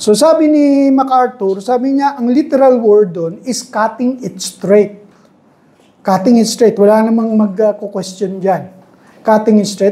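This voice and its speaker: Audible room echo and noticeable background noise surround a woman who speaks slowly-ish at a fairly high pitch with ordinary pitch variation. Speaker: Bible teacher. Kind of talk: Bible study lecture. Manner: raised voice, loud.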